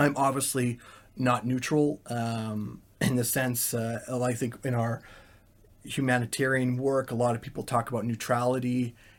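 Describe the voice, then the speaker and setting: Speaking at a moderate pace, a man keeps a monotone with flat intonation. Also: medium pitch for a man, very clean recording, silent background. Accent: Canadian. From Canada. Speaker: volunteer and IT worker. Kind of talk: interview. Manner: hesitant, filler-heavy.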